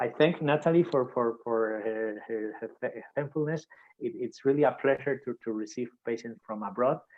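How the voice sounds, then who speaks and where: With a Spanish accent, a man speaks with ordinary pitch variation. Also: medium pitch for a man, moderate pace. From Spain. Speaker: surgeon. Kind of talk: video call. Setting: video call. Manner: halting, many repetitions.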